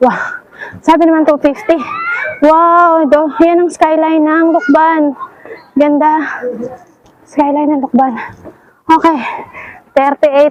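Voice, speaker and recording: A woman's high-pitched voice at a very slow pace, with long, frequent pauses, very even loudness and noticeable background noise. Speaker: travel vlogger. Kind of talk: casual vlog narration. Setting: outdoors. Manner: animated.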